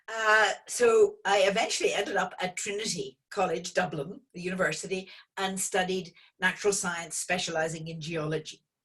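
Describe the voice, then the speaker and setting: A woman in an Irish accent with fairly even intonation and big swings in loudness. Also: medium pitch for a woman, moderate pace. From Northern Ireland, Belfast. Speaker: geologist and oil company founder. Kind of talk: online lecture interview.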